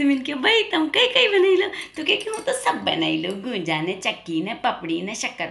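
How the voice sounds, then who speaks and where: A woman talks at a moderate pace in an Indori accent. Noticeable background noise can be heard. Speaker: comedian. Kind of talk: comic monologue to camera.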